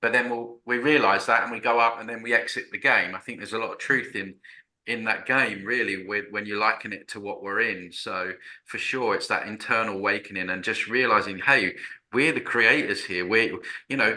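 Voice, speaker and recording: At a fairly quick pace, a man speaks with a medium pitch, a bright, sharp tone and fairly even intonation. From Essex, Southend. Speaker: broadcaster and author. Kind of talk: casual spiritual conversation.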